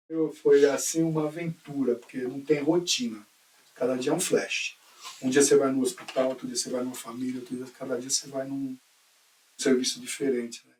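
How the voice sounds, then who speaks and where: A man's fairly high voice at a moderate pace, with fairly even intonation, big swings in loudness and noticeable background noise. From Brazil, São Paulo. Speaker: teacher and school coordinator. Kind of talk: oral history interview.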